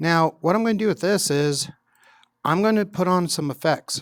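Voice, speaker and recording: A man in a normal speaking voice at a fairly quick pace with ordinary pitch variation, in a very clean recording with a dry, close sound, no echo and a silent background. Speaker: teacher. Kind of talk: tutorial.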